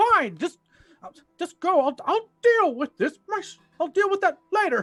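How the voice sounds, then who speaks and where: A squeaky, put-on character voice speaks at a moderate pace. Music plays in the background. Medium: actual play. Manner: flustered.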